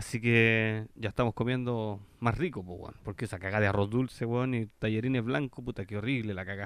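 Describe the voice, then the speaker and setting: Delivered at a fairly quick pace with hardly any pauses, the speech has fairly even intonation and a Chilean accent. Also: man, medium pitch for a man. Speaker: podcast co-host. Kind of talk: casual chat.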